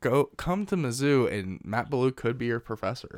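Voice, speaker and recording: In a very clean recording with a silent background, a man with an American accent uses an ordinary speaking voice at a medium pitch and a moderate pace. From Missouri, US Midwest. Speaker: podcast host. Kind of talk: casual chat.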